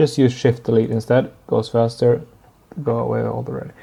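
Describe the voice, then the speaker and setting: Speaking at a moderate pace with a non-native accent, a man has a medium pitch, a dark, mellow tone and fairly even intonation. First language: not English. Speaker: 3D artist and tutorial maker. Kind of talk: tutorial. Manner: halting, many fillers.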